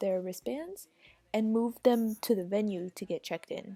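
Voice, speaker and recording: A soft-spoken woman with a fairly high pitch, a dark, mellow tone and ordinary pitch variation, in a dry, close sound with no echo. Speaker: vlogger. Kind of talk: casual storytime vlog. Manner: animated.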